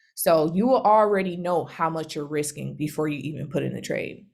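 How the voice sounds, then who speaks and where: Vocal fry runs through a woman's fairly low-pitched voice. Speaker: trading educator. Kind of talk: tutorial. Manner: fast.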